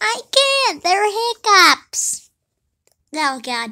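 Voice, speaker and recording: The voice is a put-on character voice at an extremely high pitch. It swings very widely up and down in pitch. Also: very clean recording, silent background. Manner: hiccuping.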